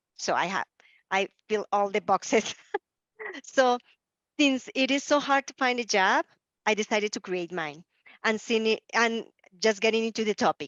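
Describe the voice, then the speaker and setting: A woman with a strong Spanish accent and a fairly high pitch, at a moderate pace with ordinary pitch variation and long, frequent pauses. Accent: heavy Spanish. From Colombia. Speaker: life coach. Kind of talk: panel discussion.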